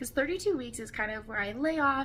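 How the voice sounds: A woman speaks at a fairly quick pace in a high voice with a fairly bright tone and lively intonation.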